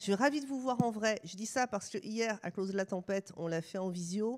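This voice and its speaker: In a very clean recording with a silent background, a woman speaks at a moderate pace in a medium pitch with ordinary pitch variation. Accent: Swiss. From France. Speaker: sociologist and university researcher. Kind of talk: lecture. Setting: stage with live audience.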